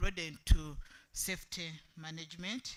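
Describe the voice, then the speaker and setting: This soft-spoken man talks at a high pitch. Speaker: workshop group delegate. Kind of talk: group presentation.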